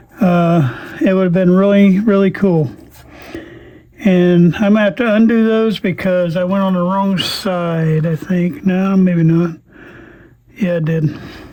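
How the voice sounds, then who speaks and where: A man's high-pitched voice with ordinary pitch variation, a fairly slow pace and long, frequent pauses, against noticeable background noise. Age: 60s. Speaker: radio restoration hobbyist. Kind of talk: tutorial. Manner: casual, halting with fillers.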